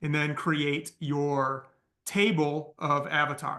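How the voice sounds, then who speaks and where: A man's fairly high voice with a bright, sharp tone against a quiet background. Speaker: business coach teaching AI marketing. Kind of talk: live training call.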